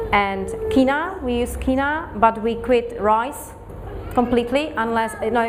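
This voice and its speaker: Noticeable background noise and audible room echo surround a woman who speaks at a high pitch with a non-native accent. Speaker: raw food presenter. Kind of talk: Q&A after a talk. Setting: community group presentation with audience. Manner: halting, with many fillers and restarts.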